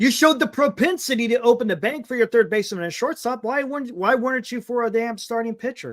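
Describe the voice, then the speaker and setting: Loud and very fast, a man talks at an extremely high pitch with ordinary pitch variation and hardly any pauses. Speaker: sports talk show host. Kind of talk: live stream sports talk. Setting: live stream. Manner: animated. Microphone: audio distorting from yelling, mic moved away.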